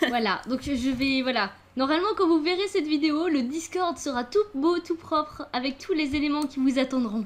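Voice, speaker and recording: She speaks high for a woman, with lively intonation, at a moderate pace. Her loudness stays very even throughout. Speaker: gaming youtuber. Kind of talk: casual chat.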